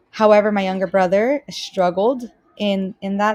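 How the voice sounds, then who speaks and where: In a Spanish accent, a woman talks with monotone, flat intonation. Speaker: student teacher. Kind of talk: self-introduction video. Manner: hesitant, many fillers.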